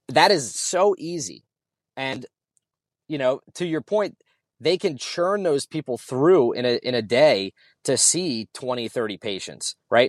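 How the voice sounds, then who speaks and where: A man's fairly high-pitched, ordinary speaking voice with an American accent, lively intonation and a fairly slow pace, in a dry, close sound with no echo on a very clean recording with a silent background. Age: 30s. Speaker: gym owner and army fitness coordinator. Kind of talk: casual chat.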